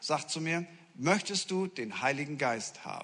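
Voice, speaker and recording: A man speaks in an animated tone with lively intonation. His pitch is fairly high. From northern Germany, Friesland. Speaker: pastor. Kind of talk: sermon. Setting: church.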